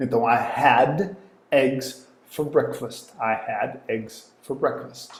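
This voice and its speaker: Speaking at a very slow pace in a European Portuguese accent, a man sounds somewhat breathy against audible room echo. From Portugal. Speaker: English teacher. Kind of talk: online lesson. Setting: live online class. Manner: repeats phrases with filler sounds.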